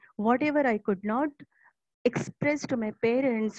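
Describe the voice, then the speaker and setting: A somewhat breathy voice at a moderate pace, with ordinary pitch variation and a dry, close sound with no echo. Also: woman. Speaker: school principal. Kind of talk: motivational talk. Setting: online webinar.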